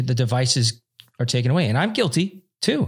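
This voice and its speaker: In a very clean recording with a silent background, a man talks at a fairly quick pace. His medium-pitched voice is somewhat breathy, with lively intonation. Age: 40s. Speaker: podcast host. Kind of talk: casual interview chat.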